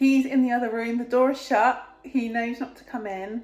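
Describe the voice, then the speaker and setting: A woman with an English accent talks at a moderate pace. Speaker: family vlogger. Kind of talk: casual vlog talk to camera.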